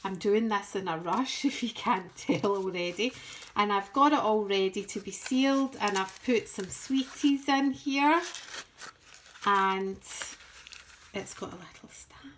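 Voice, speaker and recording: In a Scottish accent, a woman speaks with lively intonation at a fairly slow pace. Her long, frequent pauses sit over light background noise. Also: big swings in loudness. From Scotland. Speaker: crafting YouTuber. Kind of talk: show-and-tell tutorial. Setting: home craft table. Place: home room. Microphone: phone near.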